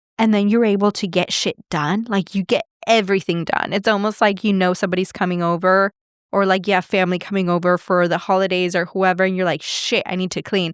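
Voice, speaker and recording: A woman speaks very fast with a medium pitch and monotone, flat intonation. The very clean recording has a silent background and a dry, close sound with no echo. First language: not English. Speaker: podcast host and life coach. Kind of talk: casual monologue. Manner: conversational.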